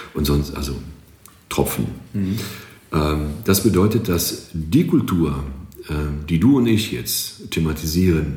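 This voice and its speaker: A man with a Greek accent and ordinary pitch variation, amid audible room echo and noticeable background noise. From Greece. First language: Greek (speaking German). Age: 40s. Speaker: marketing agency owner and drummer. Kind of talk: podcast interview.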